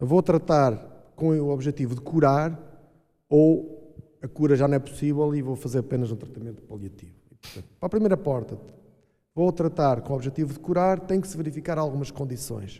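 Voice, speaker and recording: A man with a dark, mellow tone and a fairly high pitch speaks at a moderate pace, his loudness swinging widely. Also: ordinary pitch variation. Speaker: doctor (prostate cancer specialist). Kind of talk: public panel discussion. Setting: stage with audience.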